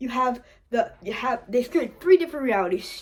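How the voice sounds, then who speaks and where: Animated in tone, a woman speaks at a fairly quick pace with ordinary pitch variation. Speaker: comedy video creator. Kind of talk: improvised comedic monologue. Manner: stuttering, halting.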